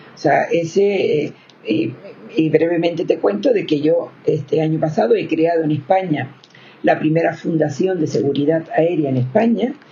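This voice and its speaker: A woman talks at a moderate pace, her intonation lively, while noticeable noise fills the background. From Spain, Canary Islands (Gran Canaria). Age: 70s. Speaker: victims' rights advocate. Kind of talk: interview.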